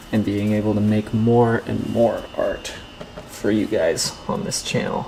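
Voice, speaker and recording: A man talks at a fairly slow pace. Noticeable background noise sits behind him. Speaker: painting instructor. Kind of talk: tutorial. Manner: halting.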